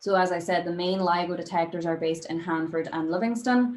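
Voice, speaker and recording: A woman with a Northern Irish accent speaks fairly quickly at a medium pitch, her pitch varying in an ordinary way. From Derry, Northern Ireland. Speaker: astrophysicist, postdoctoral researcher. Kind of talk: public science lecture.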